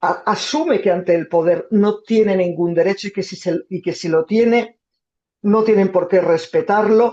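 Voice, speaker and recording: Delivery is fairly slow. The pitch moves with ordinary variation. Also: woman. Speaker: journalist, foreign correspondent. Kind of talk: talk with audience Q&A. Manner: halting.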